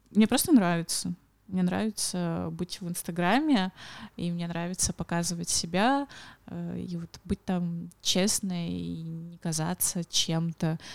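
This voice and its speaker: Speaking very slowly at a fairly low pitch with ordinary pitch variation, a woman is heard in a very clean recording with a silent background and a dry, close sound with no echo. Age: 20s. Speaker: blogger and social media manager. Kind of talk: casual chat.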